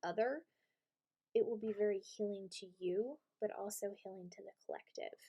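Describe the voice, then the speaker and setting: A woman speaks at a medium pitch with ordinary pitch variation and big swings in loudness. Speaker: tarot reader and channeler. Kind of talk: tarot reading. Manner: halting.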